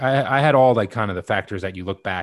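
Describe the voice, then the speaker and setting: Over a silent background in a very clean recording, a man talks very fast with ordinary pitch variation. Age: 40s. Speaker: podcast host, heart attack survivor. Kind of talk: interview.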